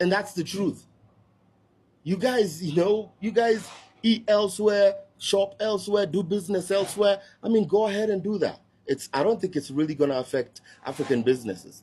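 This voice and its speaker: A dark, mellow tone in a Kenyan accent. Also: man, high pitch for a man, ordinary pitch variation, moderate pace. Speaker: social media commentator. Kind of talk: online video rant. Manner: animated.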